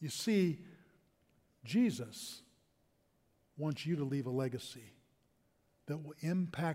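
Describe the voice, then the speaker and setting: Somewhat breathy and fairly high-pitched, a man speaks at a very slow pace. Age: 60s. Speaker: pastor. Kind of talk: sermon.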